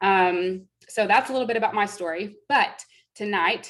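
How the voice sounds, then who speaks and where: A woman's normal speaking voice at medium pitch, with an American accent, ordinary pitch variation and a moderate pace. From Texas (Fort Worth). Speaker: network marketing presenter. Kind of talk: sales pitch testimony.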